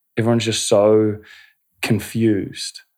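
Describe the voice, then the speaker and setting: A man with a New Zealand accent on a very clean recording, background silent. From New Zealand, North Canterbury. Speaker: breathwork and meditation facilitator. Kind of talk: casual interview. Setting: studio.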